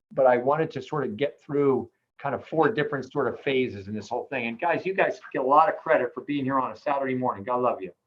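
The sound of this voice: A man talks at a fairly quick pace and medium pitch, with ordinary pitch variation.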